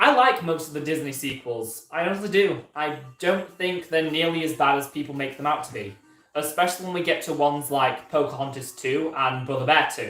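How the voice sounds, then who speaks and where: A man speaks fairly quickly in a Yorkshire accent with ordinary pitch variation. Music plays in the background, and there is audible room echo. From Yorkshire, northern England. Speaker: YouTuber, Disney animation commentator. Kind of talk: live stream Q&A. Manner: hesitant, many fillers; casual, chatty.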